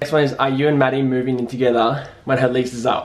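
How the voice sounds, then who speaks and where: This man has a medium-pitched voice. He speaks with an Australian accent. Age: 20s. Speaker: YouTuber. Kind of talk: casual Q&A vlog. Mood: cheerful, relaxed. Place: home room.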